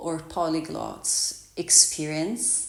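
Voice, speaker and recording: A woman is speaking. Audible echo fills the room around her. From Italy. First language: Italian. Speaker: vlogger and yoga teacher. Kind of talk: casual vlog introduction.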